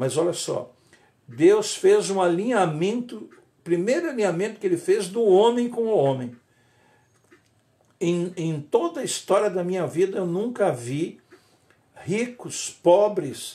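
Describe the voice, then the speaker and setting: A man's high-pitched voice with a dark, mellow tone, lively intonation, a fairly slow pace and long, frequent pauses. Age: 70s. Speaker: pastor. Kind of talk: sermon. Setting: livestream. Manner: halting.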